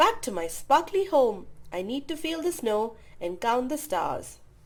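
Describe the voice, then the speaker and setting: Very wide pitch swings mark the put-on character voice. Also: woman, high pitch for a woman, moderate pace. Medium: read story.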